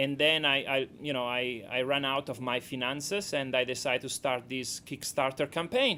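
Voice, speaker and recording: A man with a strong Italian accent, a bright, sharp tone and a moderate pace. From Italy. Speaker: documentary director. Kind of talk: radio interview. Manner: halting.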